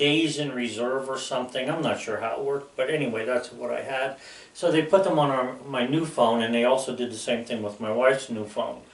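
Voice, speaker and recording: A man speaks at a moderate pace and medium pitch with ordinary pitch variation. The room echo is audible. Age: 60s. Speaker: YouTuber. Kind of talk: casual monologue. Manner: rambling, hesitant with fillers.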